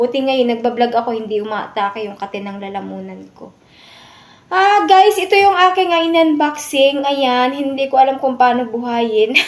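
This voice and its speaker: A woman speaks at a high pitch with very wide pitch swings and big swings in loudness. Noticeable background noise runs behind her. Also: moderate pace. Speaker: vlogger. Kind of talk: unboxing vlog.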